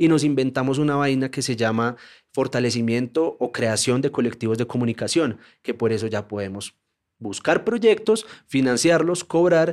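Here is a man with an ordinary speaking voice at a medium pitch. His pace is moderate and his pitch variation ordinary. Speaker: journalist and documentary maker. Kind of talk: casual interview conversation.

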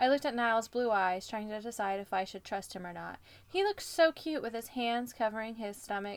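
This is a natural reading voice. It carries the words through.

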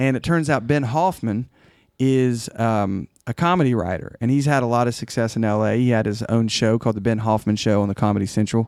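This man has an unremarkable speaking voice, with an American accent, medium pitch, ordinary pitch variation and a fairly quick pace. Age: 40s. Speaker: songwriter. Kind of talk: casual chat.

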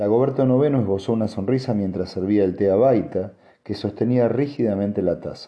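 The clip is plain reading aloud. Its pitch variation is ordinary.

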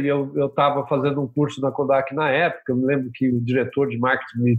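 A man with an ordinary speaking voice talks at a moderate pace in a fairly high pitch. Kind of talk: casual interview chat.

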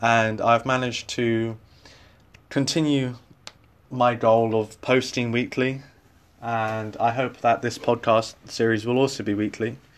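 Fairly even intonation marks this man's speech, which has a medium pitch and a fairly slow pace. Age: 20s. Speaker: podcast host, university student. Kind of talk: solo podcast monologue.

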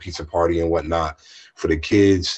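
This man's voice is very deep and low, somewhat breathy, with monotone, flat intonation. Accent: American. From US East Coast, southern Maryland. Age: 20s. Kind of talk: casual interview. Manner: halting.

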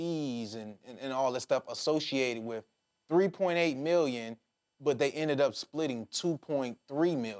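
In a normal speaking voice, a man with an American accent talks at a moderate pace, with medium pitch and lively intonation. The sound is dry and close with no echo, on a very clean recording with a silent background. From Detroit, US Midwest. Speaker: podcast host. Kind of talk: interview.

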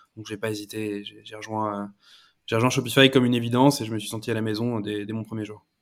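A man speaks very fast in a fairly low pitch. His delivery is flat and monotone, with big swings in loudness. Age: 30s. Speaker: e-commerce partnerships manager. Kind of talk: casual interview. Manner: halting, repeats words.

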